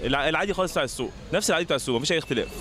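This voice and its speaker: The voice shows ordinary pitch variation. The sound is dry with no echo, over light background noise. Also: man. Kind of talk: interview answer. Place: street. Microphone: handheld.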